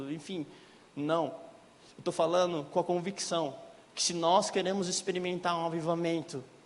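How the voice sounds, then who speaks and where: A man talks at a moderate pace in a high pitch. Audible room echo surrounds his voice. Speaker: lay preacher. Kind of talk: sermon. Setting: church.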